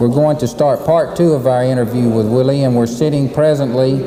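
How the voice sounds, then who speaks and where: A man talks at a fairly quick pace with a medium pitch and fairly even intonation. Noticeable background noise sits behind him. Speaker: TV interviewer, university host. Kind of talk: TV interview host.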